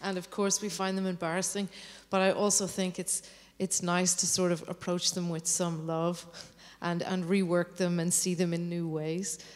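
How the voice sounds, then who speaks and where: The voice has an Irish accent and monotone, flat intonation. It moves at a moderate pace. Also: woman, fairly low pitch for a woman. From Ireland. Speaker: composer. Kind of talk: interview on stage.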